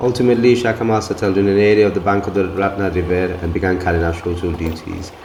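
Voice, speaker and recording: Very fast and very deep, a man's voice comes through noticeable background noise. The room gives an audible echo. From grew up abroad, left Bangladesh as a toddler. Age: 40s. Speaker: travel and heritage video narrator. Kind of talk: scripted narration. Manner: formal.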